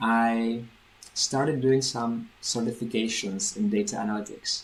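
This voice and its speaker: A speaker talks at a fairly slow pace. The voice carries a Czech accent. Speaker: language teacher. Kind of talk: vlog. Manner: clear.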